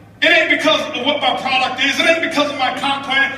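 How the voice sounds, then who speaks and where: A man shouting in a raised, projected voice, intense in tone with fairly even intonation, amid audible room echo and noticeable background noise. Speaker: network marketing motivational speaker. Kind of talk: motivational speech to audience. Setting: stage with audience. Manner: intense, yelling.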